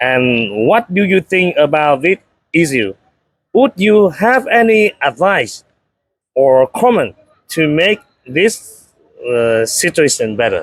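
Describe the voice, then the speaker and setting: Speaking at a very slow pace with long, frequent pauses, a man with a Vietnamese accent uses a high pitch, very wide pitch swings and very even loudness. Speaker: interviewer. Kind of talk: interview. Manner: halting.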